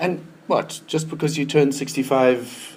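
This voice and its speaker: A man's medium-pitched voice at a fairly slow pace, with noticeable background noise. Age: 60s. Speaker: retirement transition consultant. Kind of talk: talk to an audience. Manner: halting, repeats words.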